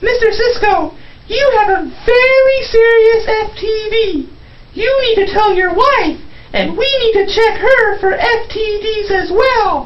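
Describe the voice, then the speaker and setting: Clear background noise sits behind a squeaky, cartoonish character voice that moves at a fairly slow pace. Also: female-sounding voice, extremely high pitch for a woman. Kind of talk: comic overacting. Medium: puppet show.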